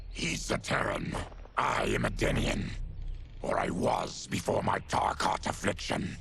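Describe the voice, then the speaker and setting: A man's cartoonish character voice at a fairly slow pace, with clear background noise. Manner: grave, formal.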